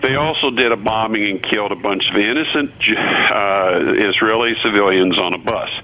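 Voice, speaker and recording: A man's fairly low voice with ordinary pitch variation, hardly any pauses, and noticeable background noise. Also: moderate pace. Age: 60s. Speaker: radio host and physician. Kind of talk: talk radio commentary. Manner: halting, many repeated words and fillers.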